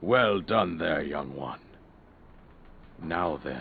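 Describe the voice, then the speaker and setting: A man puts on a raspy character voice pitched very deep and low. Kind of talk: video game cutscene voice acting. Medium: video game. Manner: measured, formal, regal.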